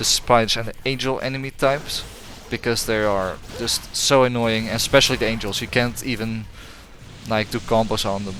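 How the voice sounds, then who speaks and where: The speaker's intonation stays fairly even, with noticeable background noise behind the voice. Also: man. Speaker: gaming YouTuber. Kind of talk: game review commentary. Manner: halting, many fillers and restarts.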